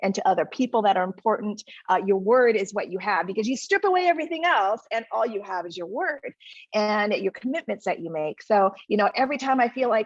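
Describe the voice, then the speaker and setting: Fairly quick pace and lively intonation in a dry, close sound with no echo. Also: woman. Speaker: TV chef, cookbook author, food blogger. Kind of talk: interview answer. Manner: bright, smiling.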